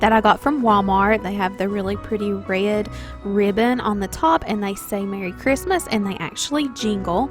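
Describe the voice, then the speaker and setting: With a Southern US accent, a woman speaks in an upbeat tone at a medium pitch with ordinary pitch variation, music playing in the background. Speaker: stay-at-home mom, lifestyle vlogger. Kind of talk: home tour narration.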